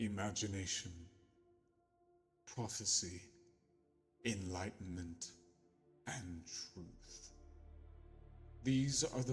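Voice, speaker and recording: A man's put-on character voice, fairly low in pitch with ordinary pitch variation, at a very slow pace over background music. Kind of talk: audio story narration.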